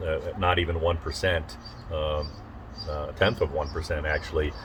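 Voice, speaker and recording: A man's very deep, low voice over noticeable background noise. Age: 60s. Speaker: political candidate. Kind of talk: casual interview. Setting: outdoors on a front porch. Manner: halting, many fillers.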